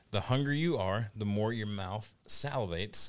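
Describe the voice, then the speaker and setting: Against a quiet background, an ordinary speaking voice moves at a fairly slow pace with ordinary pitch variation. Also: man. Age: 30s. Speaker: podcast co-host. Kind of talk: casual chat.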